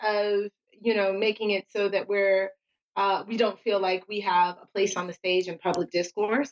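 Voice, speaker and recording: A woman with an American accent speaks in a plain, everyday voice at medium pitch. Her intonation is fairly even, and the sound is dry and close with no echo. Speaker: podcast co-host. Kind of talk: casual chat. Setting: remote call while traveling.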